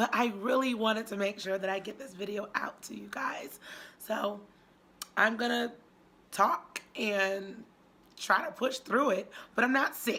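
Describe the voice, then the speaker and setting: Over noticeable background noise, a woman speaks at a fairly slow pace with long, frequent pauses. Her pitch is fairly high, with ordinary pitch variation. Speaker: YouTube diet vlogger. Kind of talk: casual vlog talk.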